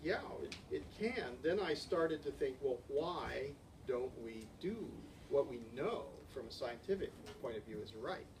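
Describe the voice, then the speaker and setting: Long, frequent pauses break up a man's speech. Audible room echo and noticeable background noise fill the recording. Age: 60s. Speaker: ecosystem researcher. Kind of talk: conference Q&A discussion. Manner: halting, frequent repetitions.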